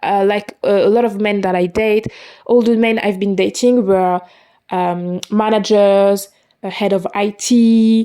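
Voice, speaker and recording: Dark and mellow in tone, a woman with a non-native accent speaks with ordinary pitch variation on a very clean recording with a silent background. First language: not English. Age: 20s. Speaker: podcaster. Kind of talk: personal monologue. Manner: halting.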